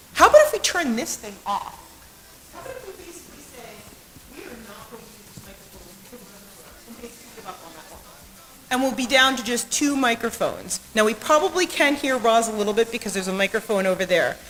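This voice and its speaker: A high-pitched woman's voice at a very fast pace, with lively intonation, big swings in loudness, and noticeable background noise. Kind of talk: mic check and poetry reading.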